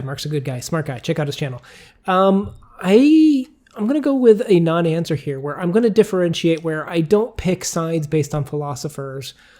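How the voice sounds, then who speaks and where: Talking at a fairly quick pace, a man has a high pitch. His pitch varies in an ordinary way. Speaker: booktube co-host. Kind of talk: casual Q&A chat. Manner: loud.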